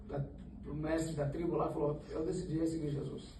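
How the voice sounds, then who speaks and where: A man at a fairly high pitch and moderate pace, with noticeable background noise and audible room echo. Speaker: Sunday school teacher. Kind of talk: Bible study lesson. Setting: church. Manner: halting, self-correcting.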